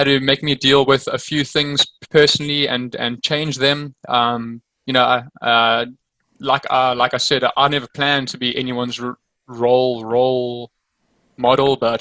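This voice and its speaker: The man speaks at a moderate pace with a medium pitch and monotone, flat intonation. The sound is dry and close, with no echo. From South Africa. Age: 20s. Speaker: motorcycle racer. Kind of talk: casual interview. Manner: repetitive halting speech.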